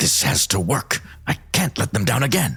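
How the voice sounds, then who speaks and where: Over light background noise, a man puts on a character voice at a medium pitch and a moderate pace. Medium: audio drama.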